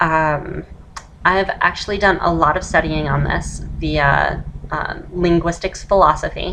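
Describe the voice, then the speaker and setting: Noticeable background noise runs behind a woman talking at a fairly slow pace. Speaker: voice feminization tutor. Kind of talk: casual tutorial talk to camera. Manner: switches between masculine and feminine voice.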